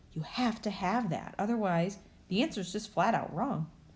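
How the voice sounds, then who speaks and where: Her voice has a dark, mellow tone and is somewhat breathy as a woman talks at a fairly quick pace with ordinary pitch variation. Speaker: elementary school teacher. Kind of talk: tutorial. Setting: recorded video lesson.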